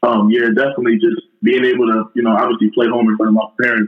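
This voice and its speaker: With a New York accent and a medium pitch, a man talks at a very fast pace. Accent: New York City. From Far Rockaway, Queens, New York City. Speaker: college football player. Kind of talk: casual interview.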